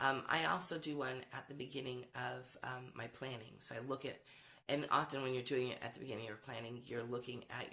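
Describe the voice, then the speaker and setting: This woman's pitch is very deep and low, with ordinary pitch variation. Her tone is bright and sharp. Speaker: homeschool educator, curriculum creator. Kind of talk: casual talk to camera. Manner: conversational, many fillers.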